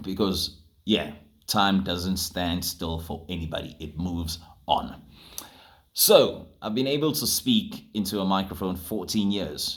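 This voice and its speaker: A man's very deep, low voice at a fairly slow pace. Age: 30s. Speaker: radio presenter. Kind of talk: casual vlog monologue.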